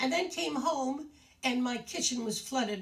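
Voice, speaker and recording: Against noticeable background noise, a woman talks in a warm tone at a fairly slow pace. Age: 80s+. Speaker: retirement community show host. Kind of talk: casual talk to residents on video. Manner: halting, with many fillers; warm and chatty.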